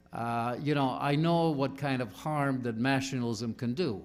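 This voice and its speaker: A man with a medium-pitched voice talks amid audible room echo. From Balkans. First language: not English. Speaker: author and panelist. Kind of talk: panel discussion.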